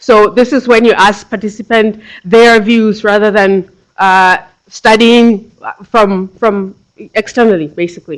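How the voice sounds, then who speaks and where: A woman with a Tswana accent speaks at a fairly slow pace in a fairly high voice, her intonation fairly even and her loudness very even. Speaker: PhD researcher. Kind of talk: lecture. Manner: halting, with frequent repetitions and fillers.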